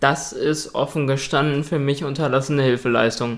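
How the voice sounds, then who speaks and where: In an ordinary speaking voice, a man talks at a fairly slow pace with a fairly high pitch and fairly even intonation. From Ruhr area, Germany (Dortmund). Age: 20s. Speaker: hearing-impaired guest. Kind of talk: interview.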